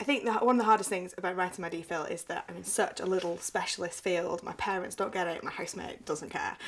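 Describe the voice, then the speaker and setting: Talking very fast with hardly any pauses, a woman uses a medium pitch and ordinary pitch variation. Her loudness swings widely over noticeable background noise. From northern England, Burnley, Lancashire. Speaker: doctoral student. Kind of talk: testimony. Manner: casual, conversational.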